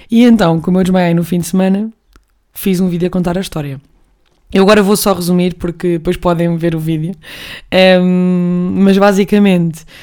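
A woman with a European Portuguese accent at a fairly quick pace, broken by long, frequent pauses, on a very clean recording with a silent background. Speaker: podcast host. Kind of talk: casual monologue. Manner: animated.

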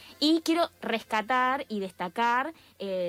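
A woman speaks at a high pitch, her voice swinging very widely up and down. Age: 30s. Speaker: radio columnist. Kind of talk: radio segment. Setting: radio studio.

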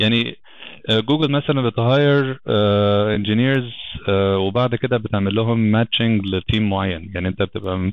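Speaking in an Egyptian accent, a man talks at a moderate pace. His pitch is fairly low. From Egypt, Alexandria. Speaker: software engineering lead. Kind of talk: podcast interview.

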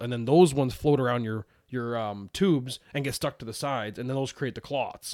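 An unremarkable speaking voice belongs to a man with a Canadian accent, medium pitch and ordinary pitch variation. He talks at a fairly quick pace on a very clean recording with a silent background. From Canada. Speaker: podcast co-host. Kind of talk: casual chat.

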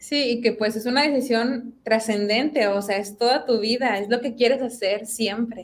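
A woman with a fairly high pitch speaks at a moderate pace with fairly even intonation and hardly any pauses. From Mexico, Monterrey (Apodaca). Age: 20s. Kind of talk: testimony.

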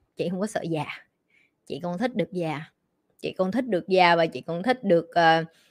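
A woman's fairly low, animated voice with ordinary pitch variation, a fairly quick pace and long, frequent pauses. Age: 20s. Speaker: life coach. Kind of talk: livestream Q&A.

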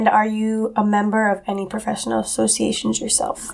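A woman's plain, everyday voice, fairly high in pitch, with an American accent and a fairly quick pace. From Massachusetts, US. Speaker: college student, guest interviewer. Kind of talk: interview.

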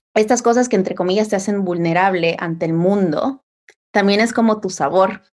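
The recording is very clean, with a silent background. A woman speaks at a moderate pace and medium pitch. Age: 20s. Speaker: communication coach. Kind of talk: casual chat. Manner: animated.

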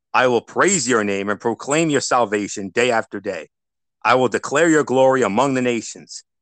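An unremarkable speaking voice at a moderate pace, with ordinary pitch variation, a dry, close sound with no echo, and a quiet background. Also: man, medium pitch for a man. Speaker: radio host and lay preacher. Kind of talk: fervent prayer, earnest and devout, spoken as worship. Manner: warm, pious, sincere.

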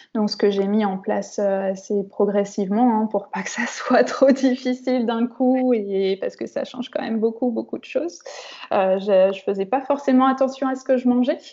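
A woman speaks in a fairly high voice at a moderate pace with fairly even intonation. Noticeable background noise is present. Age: 30s. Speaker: sophrologist, endometriosis patient. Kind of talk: interview, personal testimony. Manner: hesitant, many fillers.

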